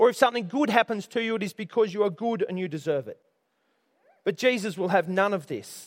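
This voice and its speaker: A man with an Australian accent and a high pitch, at a very fast pace with ordinary pitch variation. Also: very clean recording, silent background. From Australia, Orange area, New South Wales. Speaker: pastor. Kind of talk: sermon.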